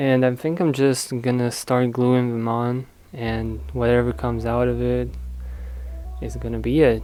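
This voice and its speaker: The tone is calm and the pace fairly slow. Music plays in the background. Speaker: DIY craft youtuber. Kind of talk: craft tutorial with personal talk. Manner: calm, low-energy.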